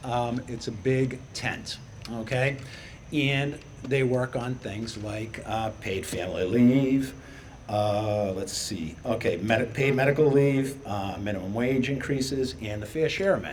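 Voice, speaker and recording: A man's fairly slow speech in a Boston accent, with noticeable background noise and audible room echo. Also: medium pitch for a man, ordinary pitch variation. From Boston area, Massachusetts (Chelsea). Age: 60s. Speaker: middle school teacher and activist. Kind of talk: rally speech. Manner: loud; animated.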